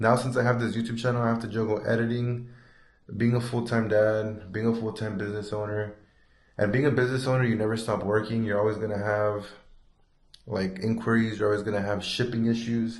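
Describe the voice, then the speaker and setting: A man of medium pitch speaks at a fairly quick pace, somewhat breathy. His intonation is monotone and flat, and room echo is audible. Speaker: sticker shop owner and vlogger. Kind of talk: casual shop tour vlog. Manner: fast; hesitant, some stuttering.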